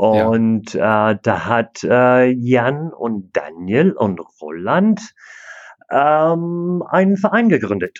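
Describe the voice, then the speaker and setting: At a very slow pace, a man speaks at a medium pitch with very wide pitch swings. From Canada. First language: English (speaking German). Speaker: disc golf club president and player. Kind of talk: interview. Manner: halting, many fillers.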